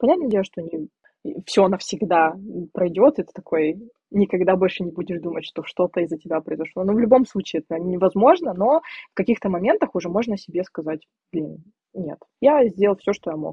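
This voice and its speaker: A woman at a medium pitch talks at a fairly quick pace with lively intonation. Her loudness swings widely, and she takes long, frequent pauses. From Siberia, Russia. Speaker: podcast guest. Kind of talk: casual chat. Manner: animated.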